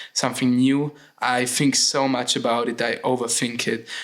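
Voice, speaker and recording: A man speaks with a German accent at a medium pitch. The recording is very clean, the background silent. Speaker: podcast host. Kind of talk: solo podcast monologue. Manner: hesitant, with many fillers.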